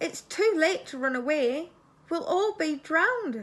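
A woman uses a put-on character voice, squeaky and at an extremely high pitch. She projects it in a raised voice at a fairly slow pace. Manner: fearful, worried.

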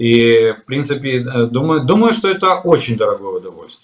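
Lively intonation runs through this man's voice. He keeps to a moderate pace. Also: quiet background. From Ukraine. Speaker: military expert, retired colonel; guest. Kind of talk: interview. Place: home room. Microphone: video call.

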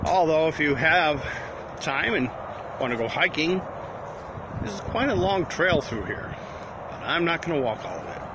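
Noticeable background noise sits under a man speaking at a moderate pace with lively intonation. The sound is dry with no echo, and he takes long, frequent pauses. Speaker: livestreamer. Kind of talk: casual vlog chat. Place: open country. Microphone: phone near.

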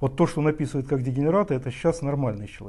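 A dark, mellow, somewhat breathy tone with ordinary pitch variation over a quiet background. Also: man. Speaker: TV host. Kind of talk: interview. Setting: studio.

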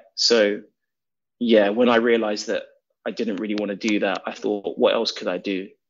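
A man with a London accent, fairly low in pitch, moderate in pace, with monotone, flat intonation. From England. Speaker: documentary director. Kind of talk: interview.

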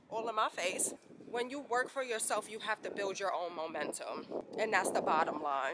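A woman speaks at a moderate pace in a dry recording with no echo but noticeable background noise. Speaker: vlogger. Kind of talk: casual vlog chat. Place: street. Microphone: phone near.

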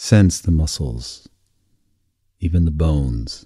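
A man with a very deep, low pitch, dark, mellow and calm, gentle tone, somewhat breathy, lively intonation, very slow pace. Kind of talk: guided meditation for sleep. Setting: recorded audio for listening in bed. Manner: slow, soft, soothing, with long pauses; calm, gentle, hypnotic.

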